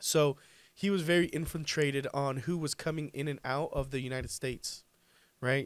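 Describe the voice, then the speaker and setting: A man with a Spanish accent speaks at a moderate pace in a fairly high pitch, his intonation fairly even, on a very clean recording with a silent background. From Colombia. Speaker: pool business owner. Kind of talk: podcast interview.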